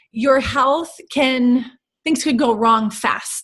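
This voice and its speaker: A woman's voice shows ordinary pitch variation and sounds somewhat breathy. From North Dakota, USA. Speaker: intercultural strategist and podcast host. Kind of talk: interview answer.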